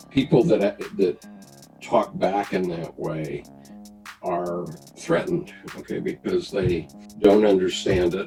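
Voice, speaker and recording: Over music in the background, a man with a fairly low voice speaks very slowly, pausing long and often while his pitch swings very widely. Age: 70s. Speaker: retired Marine and business executive. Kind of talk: interview answer.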